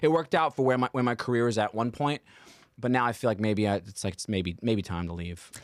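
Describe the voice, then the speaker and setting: Talking at a very fast pace, a man with an American accent has a medium pitch. His pitch variation is ordinary. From Staten Island, New York. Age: 30s. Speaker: comedian. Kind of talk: casual chat. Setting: studio.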